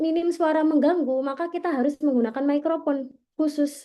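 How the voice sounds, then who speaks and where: Over a quiet background, a woman with a slight Javanese accent speaks at a high pitch and a moderate pace, her tone dark and mellow and her intonation fairly even. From East Java, Gresik. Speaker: content creation trainer. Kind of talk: training workshop presentation. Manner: casual, conversational.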